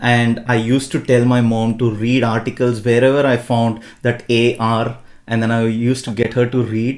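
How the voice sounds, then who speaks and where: With a Tamil accent, a man speaks at a moderate pace and medium pitch, monotone and flat in intonation and very even in loudness. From India, Bangalore. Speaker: podcast host. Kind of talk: podcast interview.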